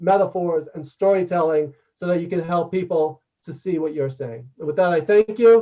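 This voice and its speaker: This man speaks loudly with a high pitch and a New York accent. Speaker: leadership consultant and author. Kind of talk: interactive workshop talk and Q&A. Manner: fast.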